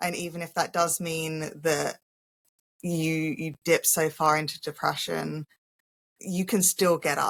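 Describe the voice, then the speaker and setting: A woman's fairly low voice, fairly slow with long, frequent pauses, monotone and flat, in a dry, close sound with no echo. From England. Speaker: holistic healer and spiritual coach. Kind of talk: casual interview chat.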